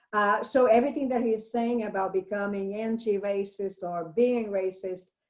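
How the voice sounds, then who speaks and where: Fairly even intonation in a Brazilian accent. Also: woman. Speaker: English professor. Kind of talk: book discussion.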